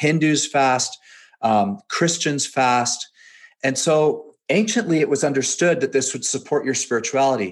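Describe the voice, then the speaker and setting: In an ordinary speaking voice, a man with a Canadian accent talks at a fairly slow pace, his fairly high pitch carried by lively intonation. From western Canada, near Seattle. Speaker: fitness coach and entrepreneur. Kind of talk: casual interview.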